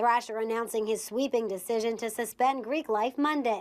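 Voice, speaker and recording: Here is an ordinary speaking voice at a moderate pace with fairly even intonation. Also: woman, fairly high pitch for a woman. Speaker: television news reporter. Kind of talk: TV news reporter standup and package.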